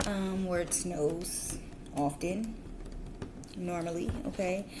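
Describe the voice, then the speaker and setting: A woman speaks at a medium pitch. Her voice carries audible room echo and noticeable background noise. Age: adult, parent. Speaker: tarot reader. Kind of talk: tarot reading. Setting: at home, kids asleep. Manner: whispering.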